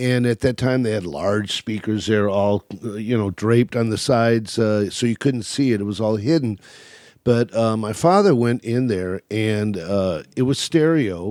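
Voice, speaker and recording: On a very clean recording with a silent background, a man with an American accent speaks in an unremarkable speaking voice at a fairly low pitch, with ordinary pitch variation and a moderate pace. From California. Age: 60s. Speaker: retired jazz club owner. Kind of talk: casual interview.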